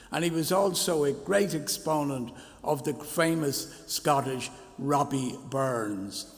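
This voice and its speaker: A man with a Dublin accent talks at a very slow pace and fairly high pitch, with audible room echo and noticeable background noise. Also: ordinary pitch variation. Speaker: minister. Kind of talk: church service address. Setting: church.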